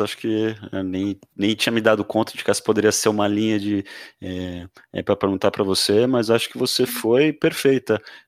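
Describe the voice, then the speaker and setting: This man has a plain, everyday voice, pitched fairly low, with fairly even intonation at a moderate pace. The recording is very clean, with a silent background and a dry, close sound with no echo. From Brazil, Santos. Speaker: podcast host. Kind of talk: interview.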